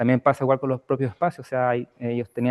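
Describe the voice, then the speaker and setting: A man at medium pitch and a very fast pace. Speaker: housing researcher. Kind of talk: academic Q&A answer. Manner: soft-spoken; hesitant, many fillers.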